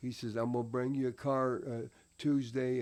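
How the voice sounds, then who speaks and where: A man with an American accent, a dark, mellow tone, medium pitch, fairly even intonation and a moderate pace. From Indiana, US Midwest (born Tennessee). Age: 80s+. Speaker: retired professional wrestler. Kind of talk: podcast interview answer.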